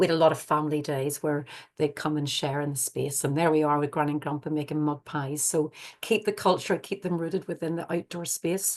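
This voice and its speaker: An Irish accent marks this woman's very deep, low voice as she speaks at a fairly quick pace with fairly even intonation against a quiet background. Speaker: forest school educator. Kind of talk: webinar presentation. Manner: fast; hesitant, many fillers.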